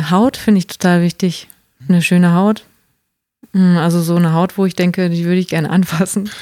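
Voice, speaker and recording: A woman speaks at a fairly quick pace but with long, frequent pauses, her dark, mellow voice fairly low and flat in a monotone. The sound is dry and close, with no echo. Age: 50s. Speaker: anonymous interviewee. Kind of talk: intimate interview.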